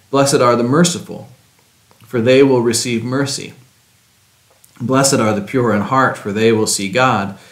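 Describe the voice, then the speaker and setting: In a room with audible echo, a man speaks at a moderate pace with ordinary pitch variation. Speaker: pastor. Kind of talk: scripture reading. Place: church.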